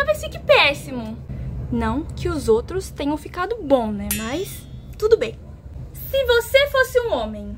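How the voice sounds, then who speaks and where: A woman talks fairly slowly against light background noise. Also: big swings in loudness. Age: 20s. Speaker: youtuber. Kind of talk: casual vlog. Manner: animated. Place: home room. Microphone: phone near.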